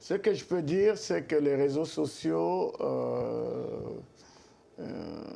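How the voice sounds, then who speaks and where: A man's very slow speech with long, frequent pauses. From Congo. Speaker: pastor. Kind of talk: interview. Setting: TV studio set. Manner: hesitant, many fillers.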